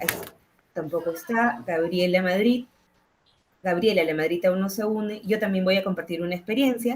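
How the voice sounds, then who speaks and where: A woman with a Peruvian accent speaks at a medium pitch with ordinary pitch variation. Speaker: educator and psychologist, panel moderator. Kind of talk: panel discussion.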